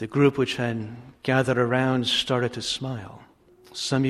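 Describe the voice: The voice is heard reading aloud. It is plain reading aloud.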